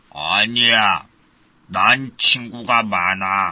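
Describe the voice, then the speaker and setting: This put-on character voice is low in pitch. It moves at a very slow pace. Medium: read story.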